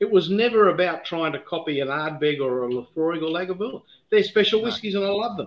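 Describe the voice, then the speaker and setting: A man's high-pitched voice, very fast, with an Australian accent. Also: lively intonation. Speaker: whisky distiller. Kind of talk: casual chat.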